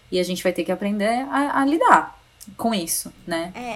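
Over noticeable background noise, a woman speaks at a medium pitch with very wide pitch swings. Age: 30s. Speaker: journalist and communication consultant. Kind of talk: casual interview. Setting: remote recording.

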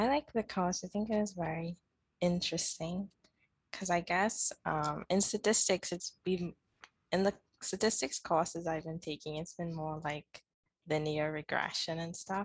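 The voice is somewhat breathy, with ordinary pitch variation at a moderate pace. The sound is dry and close with no echo, over a quiet background. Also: woman, fairly low pitch for a woman. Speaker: student podcast co-host. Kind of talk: casual interview.

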